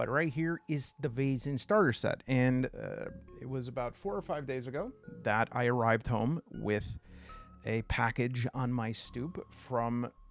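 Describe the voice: Music plays in the background as a man with an American accent speaks. His medium-pitched voice moves at a fairly slow pace. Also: ordinary pitch variation.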